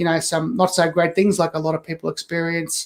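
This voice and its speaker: A high-pitched man with an Australian accent talks at a fairly quick pace. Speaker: author. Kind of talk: interview.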